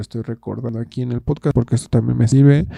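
The sound of this man speaking is dry and close, without any echo. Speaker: podcaster and video creator. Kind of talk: casual solo monologue. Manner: hesitant, with many fillers and repetitions. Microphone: new microphone bought for making songs.

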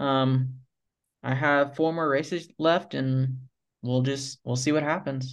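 Delivered at a very slow pace, the voice keeps very even loudness and a monotone, flat intonation. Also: man, fairly high pitch for a man. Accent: American. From US South, Tallahassee, Florida. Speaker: professional off-road motorcycle racer. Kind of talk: casual interview.

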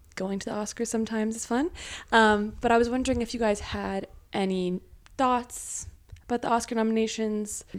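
A woman's unremarkable speaking voice, fairly high in pitch, fairly quick, with fairly even intonation. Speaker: podcast host. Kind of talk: casual family chat.

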